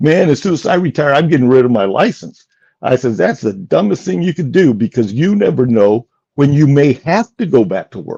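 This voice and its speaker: A man talks at a fairly quick pace with a fairly high, somewhat breathy voice. His tone is dark and mellow, and his pitch swings very widely. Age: 70s. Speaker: semi-retired truck driver. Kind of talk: casual interview chat.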